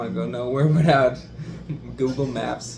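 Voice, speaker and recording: A man with a German accent, with noticeable background noise and audible room echo. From Germany. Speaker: interviewee. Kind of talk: casual interview.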